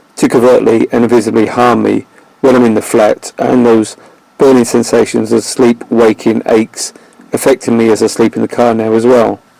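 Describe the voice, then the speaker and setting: A man with a medium pitch talks in a flat monotone, the sound dry and close with no echo and noticeable background noise behind him. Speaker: video blogger. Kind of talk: scripted narration.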